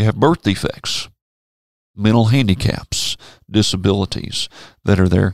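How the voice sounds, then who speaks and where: A man's fairly low voice in a Tennessee accent, at a fairly slow pace with long, frequent pauses, ordinary pitch variation and very even loudness, on a very clean recording with a silent background. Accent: Southern US (Tennessee). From Memphis, Tennessee. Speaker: preacher. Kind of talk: casual Bible discussion. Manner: halting, repeats words.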